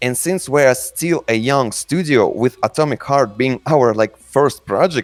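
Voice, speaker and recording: A man with a Russian accent, fairly high-pitched, at a fairly slow pace with hardly any pauses, in a dry, close recording with no echo and music in the background. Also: ordinary pitch variation. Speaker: game studio community manager. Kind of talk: live Q&A session. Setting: voice call on a chat server. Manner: halting.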